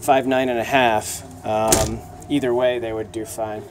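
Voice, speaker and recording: A man's voice with light background noise. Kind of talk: casual tour commentary. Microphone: phone near.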